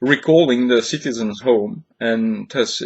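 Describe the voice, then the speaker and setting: A man speaks at a fairly slow pace with a non-native accent. His pitch is medium, with ordinary variation. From Switzerland. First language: not English. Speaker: lecturer. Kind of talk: recorded lecture. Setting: home office. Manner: hesitant, many fillers.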